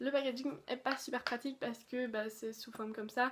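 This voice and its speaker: A woman with a high pitch and fairly even intonation. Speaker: beauty youtuber. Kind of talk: product review. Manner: fast; casual, many fillers.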